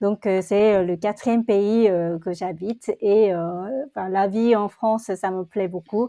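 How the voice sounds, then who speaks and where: Speaking fairly slowly with a Korean accent, a woman has a dark, mellow tone and fairly even intonation in a dry, close recording with no echo. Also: medium pitch for a woman. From South Korea. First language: Korean (speaking French). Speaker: entrepreneur. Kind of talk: interview conversation. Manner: halting.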